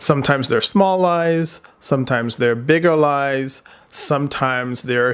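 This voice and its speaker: A man's fairly high-pitched voice with a slight non-native accent, ordinary pitch variation and a very slow pace. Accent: slight foreign accent, immigrant. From outside the US, immigrant. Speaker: psychotherapist, vlogger. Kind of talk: personal commentary vlog. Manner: casual, hesitant with many fillers.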